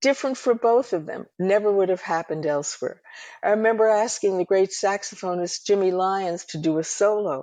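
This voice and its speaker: A woman with an American accent speaks at a fairly quick pace in a medium pitch, her tone dark and mellow. Her pitch varies in an ordinary way against a quiet background. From New York City. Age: 80s+. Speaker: ethnomusicologist and music producer. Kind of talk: interview conversation.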